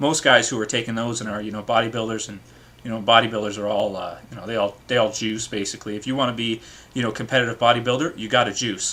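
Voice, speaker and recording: Talking at a very fast pace, a man with a Canadian accent keeps a medium pitch and fairly even intonation. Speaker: video blogger. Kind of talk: casual vlog commentary. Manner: hesitant, many fillers.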